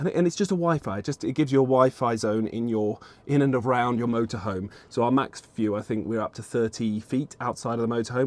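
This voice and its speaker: A man with a medium-pitched voice talks at a very fast pace with ordinary pitch variation and hardly any pauses. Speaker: podcast co-host. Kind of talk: casual podcast conversation. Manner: loud.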